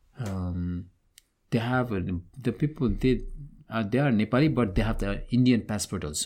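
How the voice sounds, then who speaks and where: Pausing long and often, a man talks at a moderate pace and medium pitch with ordinary pitch variation. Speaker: restaurant owner. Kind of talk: casual interview chat. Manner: halting, searching for words.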